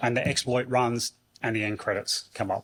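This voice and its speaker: Using an ordinary speaking voice, a man talks at a moderate pace and a medium pitch. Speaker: conference speaker. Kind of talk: conference talk. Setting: stage with audience.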